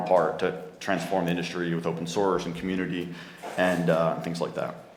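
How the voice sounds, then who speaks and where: In an American accent, a man with a very deep, low pitch speaks at a fairly quick pace amid noticeable background noise and audible room echo. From New Jersey, US. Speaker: tech company founder, conference speaker. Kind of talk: conference talk. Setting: stage with audience. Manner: fast.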